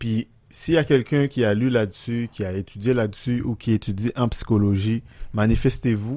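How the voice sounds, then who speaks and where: With a Haitian accent, a man talks at a medium pitch. He keeps a moderate pace and fairly even intonation. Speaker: podcast co-host. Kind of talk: casual chat. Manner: rolls his R's more in the podcast.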